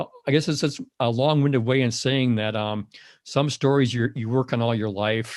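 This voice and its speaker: Over a quiet background, a man with a medium pitch talks at a moderate pace with fairly even intonation. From Wisconsin, Madison. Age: 60s. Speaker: outdoor writer. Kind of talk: podcast interview. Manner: halting, many fillers and repeats.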